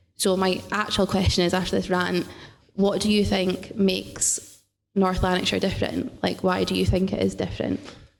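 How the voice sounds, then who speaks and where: A woman at a moderate pace, with very even loudness and audible room echo. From Scotland, Dundee. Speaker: teacher, audience member. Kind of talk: audience question. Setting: stage with audience.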